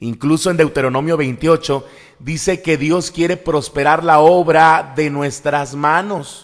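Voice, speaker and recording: A man with a normal speaking voice talks at a fairly slow pace, his fairly high pitch held in fairly even intonation. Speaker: evangelical pastor and preacher. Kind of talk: sermon-style preaching / teaching.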